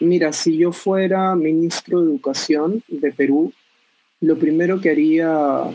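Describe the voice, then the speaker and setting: This man's pitch is fairly high. He speaks at a fairly slow pace. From northern Peru, Trujillo. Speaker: teacher trainer. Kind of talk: recorded voice message answers.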